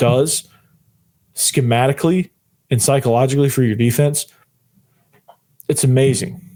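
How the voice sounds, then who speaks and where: A man with a fairly high voice for his sex, somewhat breathy in tone. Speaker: sports podcast host. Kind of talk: sports analysis podcast. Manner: animated.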